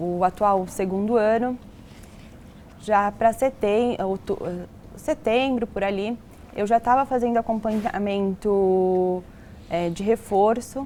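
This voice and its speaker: Speaking very slowly with long, frequent pauses, a woman uses a fairly high pitch and ordinary pitch variation. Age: 20s. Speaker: medical student. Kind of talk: interview.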